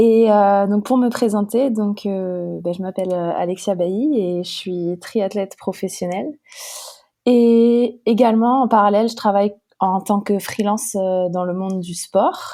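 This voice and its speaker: Medium in pitch with ordinary variation, a woman delivers her words at a fairly slow pace. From northeastern France, Haute-Marne. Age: 20s. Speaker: professional triathlete. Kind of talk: podcast interview. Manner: hesitant, many fillers.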